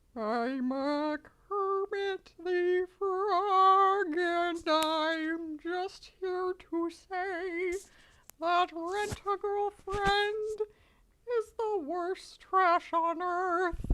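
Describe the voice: A put-on character voice at a very slow pace. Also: woman, extremely high pitch for a woman.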